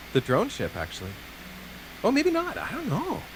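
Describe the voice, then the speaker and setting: This man's pitch swings very widely, and noticeable background noise surrounds his voice. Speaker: gaming commentator. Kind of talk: live commentary. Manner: animated.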